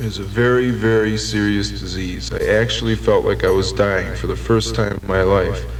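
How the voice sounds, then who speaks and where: A man talks with hardly any pauses. Noticeable background noise sits behind him. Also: moderate pace. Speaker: recovering heroin addict telling his story. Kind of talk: radio program interview answer. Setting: vintage 1972 radio recording.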